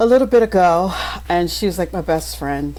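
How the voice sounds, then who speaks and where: A woman speaks in an American accent over noticeable background noise. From Maryland. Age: 60s. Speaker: pastor and coach. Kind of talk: podcast interview. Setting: podcast.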